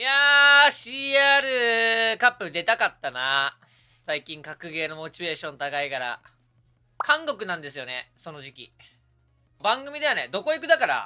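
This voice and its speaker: Faint music plays in the background as a man in a raised, projected voice talks at a moderate pace, with big swings in loudness and long, frequent pauses. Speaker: streamer. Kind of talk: casual live-stream chat. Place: home room. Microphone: studio mic.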